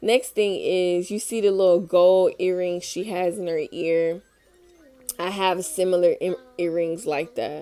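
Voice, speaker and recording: A woman speaks fairly slowly in a dark, mellow tone. Her intonation stays fairly even. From Tennessee. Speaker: vlogger. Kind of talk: casual monologue. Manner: rambling, hesitant.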